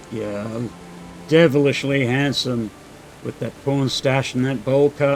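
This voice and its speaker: Over music in the background, a man with a medium-pitched voice and fairly even intonation talks at a very slow pace, leaving long, frequent pauses. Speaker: video game streamer. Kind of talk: gameplay commentary. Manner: casual.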